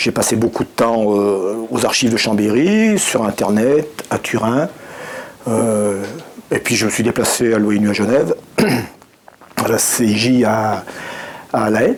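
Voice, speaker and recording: A man talks at a medium pitch with very even loudness, leaving long, frequent pauses. Noticeable noise sits in the background. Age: 60s. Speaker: regional activist, co-founder of an association. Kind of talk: interview. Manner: halting, many hesitations.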